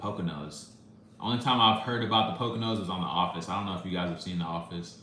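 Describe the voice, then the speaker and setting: Amid noticeable background noise, a man speaks very fast at a very deep, low pitch. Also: ordinary pitch variation. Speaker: music reaction YouTuber. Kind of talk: live stream chat, reading comments. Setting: live stream.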